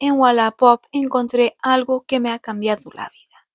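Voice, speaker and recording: In a Portuguese accent, a woman talks at a moderate pace and a high pitch. The sound is dry and close with no echo, and the recording is very clean with a silent background. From Portugal. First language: Portuguese (speaking Spanish). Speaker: furniture restoration youtuber. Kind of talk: vlog narration.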